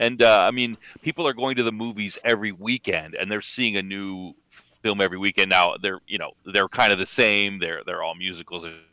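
In a Canadian accent, a man with a fairly low pitch and a bright, sharp tone talks at a fairly quick pace with ordinary pitch variation, the sound dry and close with no echo. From Canada. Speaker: guest commentator. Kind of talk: casual chat. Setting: live video chat.

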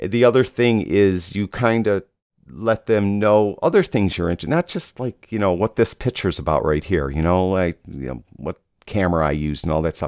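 In a very clean recording with a silent background and a dry, close sound with no echo, a man with a normal speaking voice and fairly low pitch talks at a moderate pace with lively intonation. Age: 50s. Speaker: photography podcast host. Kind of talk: solo podcast monologue. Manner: casual, with frequent fillers.

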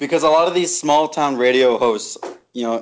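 A man with an unremarkable speaking voice talks with ordinary pitch variation. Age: 20s. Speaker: podcast co-host. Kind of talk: casual chat.

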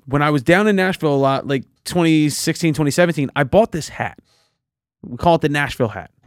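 In a Philadelphia accent, a man with a fairly high pitch speaks at a very fast pace with ordinary pitch variation, in a dry, close sound with no echo on a very clean recording with a silent background. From Philadelphia, US. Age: 20s. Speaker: podcast host. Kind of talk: casual chat.

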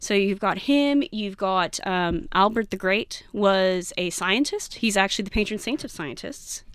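An unremarkable speaking voice from a woman with an American accent, medium in pitch, fairly slow, with lively intonation, on a very clean recording with a silent background. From Texas, San Antonio. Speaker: evolutionary biology PhD student. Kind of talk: casual interview chat.

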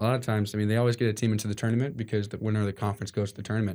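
In a very clean recording with a silent background, a man with an American accent speaks at a very fast pace. His voice sits at a medium pitch and has a dark, mellow tone. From New York. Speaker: college volleyball player. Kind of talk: casual interview. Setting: podcast studio, wearing masks.

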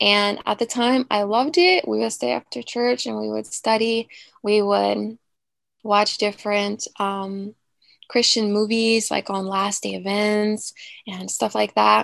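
Fairly slow speech from a woman with an American accent, dry and close with no echo, over a quiet background. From Virginia, Newport News. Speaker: former evangelistic school staff member. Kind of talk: testimony.

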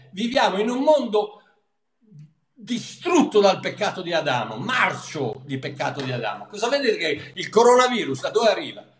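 A man's high-pitched voice with very wide pitch swings, at a moderate pace. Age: 70s. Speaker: pastor and Bible teacher. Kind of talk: religious Q&A discussion, casual teaching. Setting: video call from abroad.

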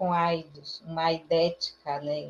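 This woman's voice has a dark, mellow tone. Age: 40s. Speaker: HIV activist. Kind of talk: online panel discussion.

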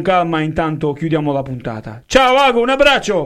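A man's animated tone at a moderate pace. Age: 20s. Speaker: radio host and DJ. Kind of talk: casual radio show chat.

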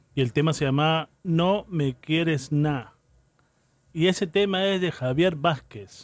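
A man at a very slow pace and fairly high pitch, with very even loudness and ordinary pitch variation. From Callao, Peru. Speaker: radio host playing salsa. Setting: radio studio broadcast. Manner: casual and conversational, with laughs, asides and unscripted pauses.

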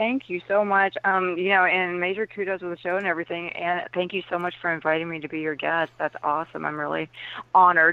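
A woman with an American accent talks very fast in a fairly low voice, keeping her intonation fairly even. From US South. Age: 40s. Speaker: author and empath. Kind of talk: interview.

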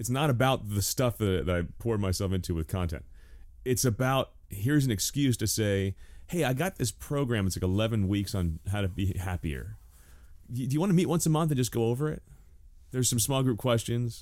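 On a very clean recording with a silent background, a man in a normal speaking voice talks at a fairly quick pace with a fairly low pitch and lively intonation. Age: 40s. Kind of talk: casual chat.

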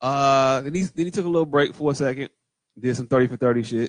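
The sound is dry and close with no echo as a man with a fairly high pitch talks at a moderate pace with ordinary pitch variation. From Mississippi (Jacksonville). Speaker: podcast co-host. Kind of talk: casual chat. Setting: home recording.

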